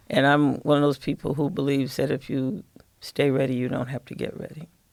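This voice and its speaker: With a Midwestern US accent, the speaker talks at a fairly quick pace with fairly even intonation. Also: woman, very deep, low pitch for a woman. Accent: US Midwest. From Michigan, Lansing. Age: 70s. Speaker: jazz singer. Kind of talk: casual chat.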